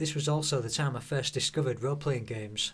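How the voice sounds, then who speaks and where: Very fast and with fairly even intonation, a man with a Hull accent talks in a fairly high pitch. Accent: Hull, East Yorkshire English. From northern England, Hull. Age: 50s. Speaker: YouTuber. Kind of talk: personal narration. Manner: downbeat.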